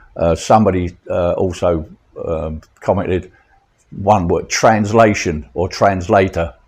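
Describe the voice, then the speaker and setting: A man's very deep, low voice, somewhat breathy, at a fairly slow pace with fairly even intonation. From London, England. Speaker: vlogger. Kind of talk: casual vlog chat. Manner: halting, many fillers.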